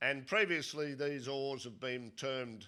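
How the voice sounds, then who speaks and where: Bright and sharp in tone, a man's voice sits at a medium pitch. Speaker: geology professor. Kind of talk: conference lecture. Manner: deliberately not too fast.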